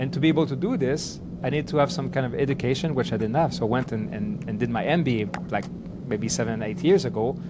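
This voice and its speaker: A man with a French Canadian accent talks at a very fast pace in a medium pitch, with lively intonation, audible room echo and music in the background. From Quebec, Canada. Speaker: business coach. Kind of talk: podcast interview. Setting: video call. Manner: halting, repeats words.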